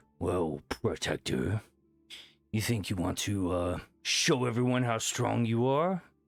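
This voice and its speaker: Over music in the background, a man puts on a character voice at medium pitch and a fairly slow pace. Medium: actual play. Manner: hearty, booming.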